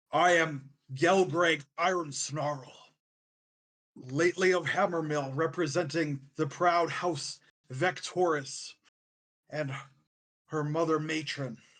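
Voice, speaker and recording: A man growls in a put-on character voice, fairly high in pitch. He speaks at a fairly slow pace with long, frequent pauses. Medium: actual play. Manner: gruff, effortfully formal.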